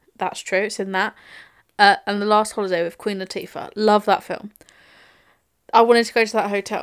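With an English accent, a woman speaks fairly quickly in a monotone, flat intonation, broken by long, frequent pauses, on a very clean recording with a silent background. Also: medium pitch for a woman. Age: 20s. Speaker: podcast co-host. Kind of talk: casual chat.

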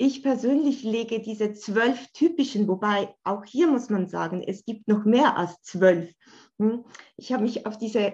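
Against a quiet background, a woman talks at a very slow pace with a fairly high pitch. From Switzerland, Bern. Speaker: art therapist. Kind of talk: casual interview.

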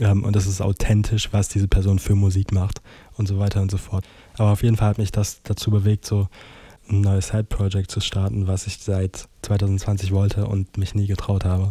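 Against a silent background in a very clean recording, a man talks in a fairly low, dark, mellow voice that is somewhat breathy and monotone, with flat intonation. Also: moderate pace. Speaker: podcaster. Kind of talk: casual monologue.

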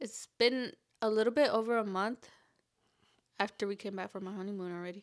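In an American accent, a woman at medium pitch talks at a fairly quick pace with fairly even intonation and long, frequent pauses, on a very clean recording with a silent background. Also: big swings in loudness. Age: 20s. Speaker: podcast host. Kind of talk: casual chat.

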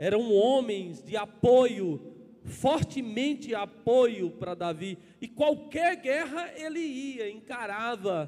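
The speech moves at a very slow pace. The intonation is lively. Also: man, extremely high pitch for a man. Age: 40s. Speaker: pastor. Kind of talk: sermon.

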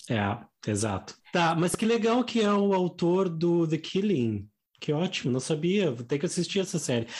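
A man with a southern Brazilian accent, high-pitched, very wide pitch swings, very even loudness, and a fairly slow pace. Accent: gaúcho Brazilian Portuguese. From southern Brazil, Rio Grande do Sul. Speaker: Portuguese teacher and podcast co-host. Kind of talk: casual chat.

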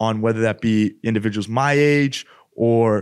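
A man speaks in a plain, everyday voice with a Canadian accent, medium in pitch and fairly slow. His intonation stays fairly even, and the background is quiet. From Edmonton, Alberta, Canada. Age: 20s. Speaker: podcast co-host. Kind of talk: casual chat. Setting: studio.

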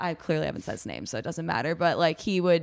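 A woman's fairly low voice with a Chicago accent, on a very clean recording with a silent background. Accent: Chicago-area American. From US Midwest, Chicago suburbs. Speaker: gym member, former rugby player. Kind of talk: casual chat.

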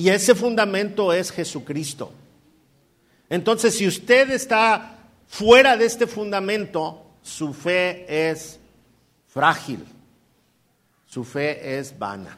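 Pitched high, a man speaks at a very slow pace with lively intonation, big swings in loudness and long, frequent pauses. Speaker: pastor. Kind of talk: sermon. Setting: church.

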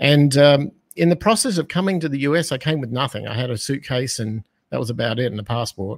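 Speaking at a very fast pace with an Australian accent, a man has a fairly high pitch and lively intonation. The sound is dry and close with no echo. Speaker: business owner and financial educator. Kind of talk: casual interview. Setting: video call, live stream.

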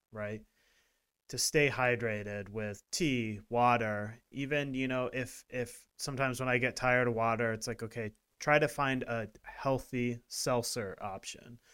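This man has an ordinary speaking voice at medium pitch, with fairly even intonation and a fairly slow pace. The recording is very clean, with a silent background. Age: 40s. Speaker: wellness podcast co-host. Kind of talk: casual chat.

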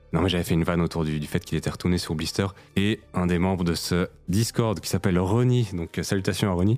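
Very deep and low in pitch, a man speaks at a fairly quick pace with fairly even intonation. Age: 30s. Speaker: podcast co-host. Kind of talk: casual chat.

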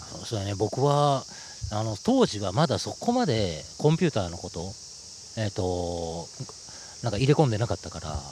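Somewhat breathy, a man speaks at a moderate pace with lively intonation and long, frequent pauses. The recording is very clean, with a silent background. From Osaka, Japan (Umeda). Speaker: author. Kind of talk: casual interview chat. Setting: outdoors on a park bench.

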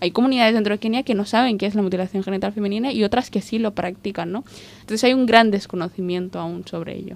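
Fairly even intonation and a very fast pace from a woman with a medium pitch. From Somalia, grew up in Spain. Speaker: refugee rights advocate. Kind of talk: interview.

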